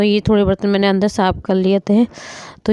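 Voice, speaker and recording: This woman talks at a moderate pace. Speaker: family vlogger, mother. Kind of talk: casual vlog narration. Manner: conversational, chatty.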